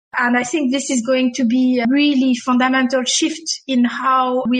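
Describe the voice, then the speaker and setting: A woman with a high pitch talks in a French accent. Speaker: HR executive. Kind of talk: interview. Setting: video call.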